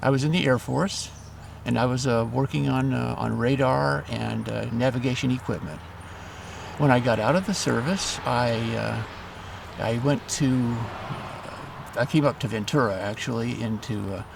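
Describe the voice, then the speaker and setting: A man with an American accent speaks at a moderate speed while noticeable background noise carries on behind him. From Southern California. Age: 70s. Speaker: retired trader, former Air Force veteran. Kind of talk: interview. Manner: halting, many fillers.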